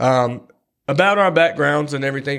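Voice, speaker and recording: Someone with a North Carolina accent talks at a moderate pace on a very clean recording with a silent background. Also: man. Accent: Southern US (North Carolina). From US South, Robeson County, North Carolina. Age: 30s. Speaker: podcast co-host, gym marketing assistant. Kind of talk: casual chat.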